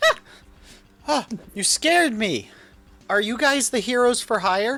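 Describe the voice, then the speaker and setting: A man uses a put-on character voice, extremely high-pitched and squeaky. He projects it loudly at a moderate pace. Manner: startled, frightened.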